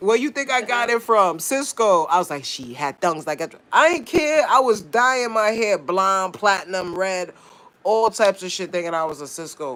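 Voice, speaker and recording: A man's high-pitched, raised, projected voice with a bright, sharp, animated tone, very wide pitch swings and big swings in loudness, on a very clean recording with a silent background. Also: moderate pace. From New York, Brooklyn. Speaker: live streamer. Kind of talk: casual chat.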